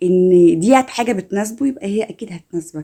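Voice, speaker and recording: A woman with an Egyptian accent, dark, mellow and warm in tone, with ordinary pitch variation and a moderate pace. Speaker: self-help content creator. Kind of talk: motivational self-help talk to camera. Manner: warm, encouraging.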